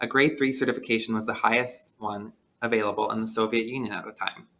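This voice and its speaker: A man with an American accent talks at a very fast pace in a medium-pitched voice. His tone is bright and sharp, and his intonation stays fairly even. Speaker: podcast co-host. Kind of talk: scripted narration; casual chat. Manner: reading from notes.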